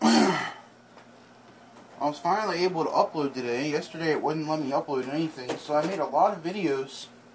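Over noticeable background noise, a man talks at a moderate pace with a fairly high pitch and ordinary pitch variation. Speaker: vlogger. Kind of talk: casual vlog talk to camera. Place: home room. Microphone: phone near.

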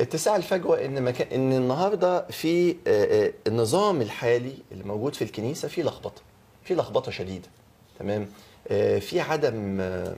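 This man's pitch swings very widely. He speaks at a moderate pace. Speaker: talk show guest. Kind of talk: interview answer. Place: studio.

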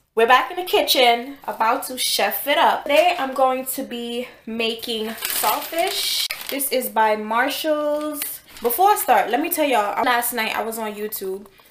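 A woman's high voice at a fairly slow pace, with audible room echo and light background noise. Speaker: home cook vlogger. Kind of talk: casual vlog chat. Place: kitchen. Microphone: phone near.

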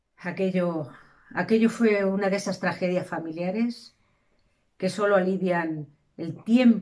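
A woman talks fairly slowly with ordinary pitch variation, the background quiet. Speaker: storyteller. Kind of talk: storytelling narration. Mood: calm, reflective. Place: home room. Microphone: camera far.

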